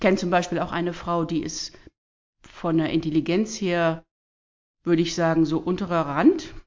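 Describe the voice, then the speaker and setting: A woman with a fairly low pitch talks at a moderate pace in a monotone, flat intonation, with long, frequent pauses and big swings in loudness. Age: 50s. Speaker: church leader and social worker. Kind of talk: casual interview, faith testimony.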